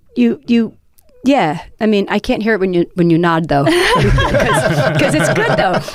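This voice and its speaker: Against noticeable background noise, a woman with a fairly low pitch talks at a fairly slow pace, her pitch swinging very widely. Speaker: podcast host and poet. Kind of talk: casual panel discussion. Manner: loud, shouty; hesitant, many fillers and restarts.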